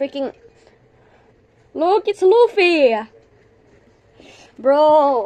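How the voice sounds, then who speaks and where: A woman at a very slow pace with very wide pitch swings, over noticeable background noise. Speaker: gaming youtuber. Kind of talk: gameplay commentary. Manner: animated.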